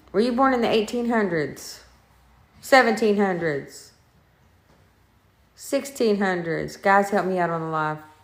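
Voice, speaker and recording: A woman speaks at a medium pitch with lively intonation, stopping often for long pauses. Audible echo from the room surrounds her voice. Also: fairly slow pace. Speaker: paranormal investigator. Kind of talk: live-streamed ghost investigation. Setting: inside a house, live stream.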